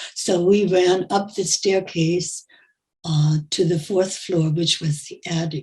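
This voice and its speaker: A woman speaks at a very slow pace in a fairly low, somewhat breathy voice. Her tone is dark and mellow, with fairly even intonation. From Germany. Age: 90s. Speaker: Holocaust survivor. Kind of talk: testimony.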